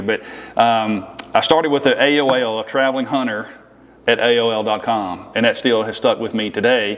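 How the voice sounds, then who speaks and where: In a Southern US accent, a man talks at a medium pitch. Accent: Southern country. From Tennessee, Nashville. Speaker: firearms company representative. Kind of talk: casual chat. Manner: animated.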